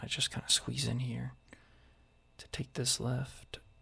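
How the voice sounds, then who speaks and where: Someone is whispering at a moderate pace. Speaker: military service member. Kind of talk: ASMR soft-spoken vlog narration. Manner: soft-spoken.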